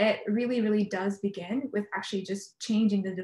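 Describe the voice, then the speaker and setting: A somewhat breathy, medium-pitched female voice at a very fast pace. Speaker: peace activist and panelist. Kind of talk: panel discussion. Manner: hesitant, many fillers.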